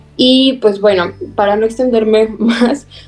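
A woman is heard over noticeable background noise. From Zacatecas, Mexico. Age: 20s. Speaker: student and environmental project leader. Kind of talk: podcast interview.

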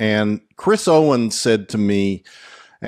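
In a very clean recording with a silent background and a dry, close sound with no echo, a man with a normal speaking voice talks at a fairly slow pace. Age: 60s. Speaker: former Scientology executive turned critic. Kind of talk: interview.

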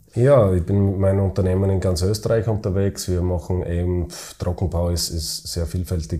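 Somewhat breathy and dark, mellow in tone, the voice shows ordinary pitch variation. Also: man. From Styria, Austria (Weiz). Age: 30s. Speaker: football club chairman and business owner. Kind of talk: interview. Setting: office. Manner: halting.

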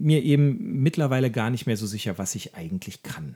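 A somewhat breathy man's voice with a dark, mellow tone, very wide pitch swings and a moderate pace. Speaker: podcast co-host, cancer patient. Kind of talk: casual chat. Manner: halting.

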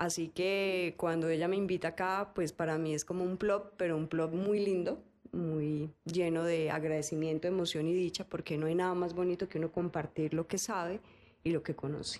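At a moderate pace, a woman talks in a fairly low pitch with very even loudness and monotone, flat intonation. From Colombia, Cali. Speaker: fermentation entrepreneur. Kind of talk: interview conversation.

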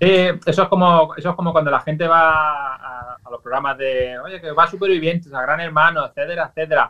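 A man speaks in a plain, everyday voice at a fairly high pitch. His loudness shows big swings. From Valencia, Spain. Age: 40s. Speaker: social media influencer. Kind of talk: radio interview.

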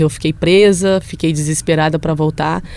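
Noticeable noise sits in the background. The speech moves at a moderate speed. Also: woman. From Brazil, Belo Horizonte. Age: 20s. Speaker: professional footballer. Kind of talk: casual interview chat. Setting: studio.

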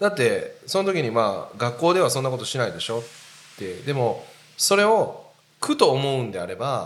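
Man at a moderate pace with audible room echo. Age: 40s. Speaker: podcast host. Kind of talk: casual chat.

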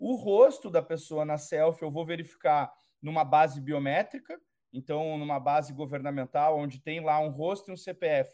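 A man's dark, mellow, fairly high-pitched voice at a moderate pace with fairly even intonation, in a very clean recording against a silent background. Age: 30s. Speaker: company executive hosting a webinar. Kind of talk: panel discussion moderation.

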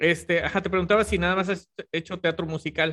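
Dry, close sound without echo, delivered at a moderate pace. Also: man. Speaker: podcast host. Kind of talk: casual interview. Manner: halting, repeats words.

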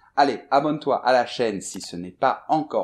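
Lively intonation with vocal fry. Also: man. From France, Bordeaux. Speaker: French teacher. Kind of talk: storytelling for language learners.

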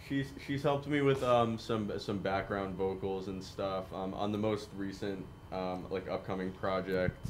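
With audible room echo, a fairly low-pitched man speaks at a fairly slow pace with hardly any pauses. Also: ordinary pitch variation. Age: 20s. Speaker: singer-songwriter. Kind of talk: casual interview. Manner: halting, many fillers and restarts.

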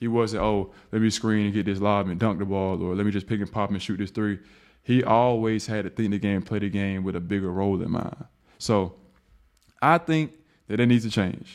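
A man with an American accent uses a plain, everyday voice, fairly low in pitch, at a moderate pace with ordinary pitch variation. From US South. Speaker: podcast host and pro basketball player. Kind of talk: solo podcast monologue. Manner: casual.

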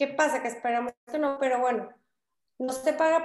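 Her intonation fairly even, a woman talks at a high pitch. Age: 20s. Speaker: political candidate. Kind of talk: interview. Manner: talkative.

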